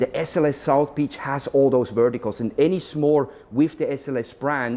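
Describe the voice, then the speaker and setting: Here a man speaks with a dark, mellow tone and a fairly high pitch. His intonation stays fairly even at a moderate pace. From Europe. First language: not English. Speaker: hotel executive. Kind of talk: interview. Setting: hotel, on location.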